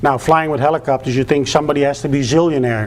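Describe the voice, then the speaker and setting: There is noticeable background noise as a man speaks with a Dutch accent. His pitch varies in an ordinary way. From Netherlands. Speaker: public speaker, former flight school owner. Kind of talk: public speech.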